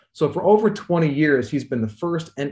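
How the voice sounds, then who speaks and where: A man with a Midwestern American accent, a dark, mellow tone and lively intonation, at a moderate pace. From US Midwest, rural Missouri. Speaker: astrophysicist and author. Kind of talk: interview.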